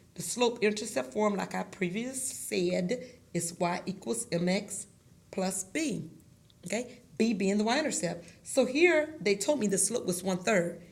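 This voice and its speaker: A somewhat breathy woman speaks at a fairly slow pace with lively intonation. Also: medium pitch for a woman. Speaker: math teacher. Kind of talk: tutorial.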